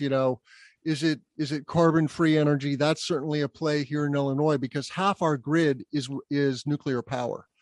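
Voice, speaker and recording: An ordinary speaking voice with an American accent moves at a moderate pace, the sound dry and close with no echo over a quiet background. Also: man. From US Southwest (Albuquerque, New Mexico). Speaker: solar business development executive, podcast host. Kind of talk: casual interview.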